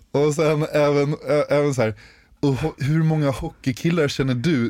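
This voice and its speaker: This man has an ordinary speaking voice at medium pitch and talks at a moderate pace. The recording is very clean, with a silent background. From Stockholm, Sweden. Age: 20s. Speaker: podcast co-host, bank business developer. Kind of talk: casual chat.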